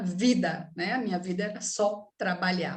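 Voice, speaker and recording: A woman with a northeastern Brazilian accent, somewhat breathy and fairly slow, with audible room echo. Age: 60s. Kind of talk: talk.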